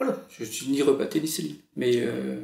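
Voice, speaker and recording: A man speaks at a moderate pace. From France, Normandy. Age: 30s. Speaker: writer. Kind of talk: casual chat. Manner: halting.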